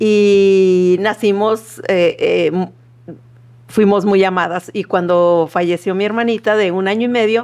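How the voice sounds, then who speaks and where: A woman's very slow, monotone delivery in a northern Mexican accent. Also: medium pitch for a woman. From northern Mexico, Matamoros, Tamaulipas. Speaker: seminary student coordinator. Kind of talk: testimony.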